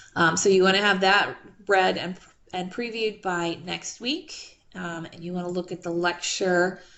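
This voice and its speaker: Amid audible room echo, a woman speaks at medium pitch and a moderate pace, her intonation fairly even but her loudness swinging widely. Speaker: math instructor. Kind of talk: online class lecture. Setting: video call.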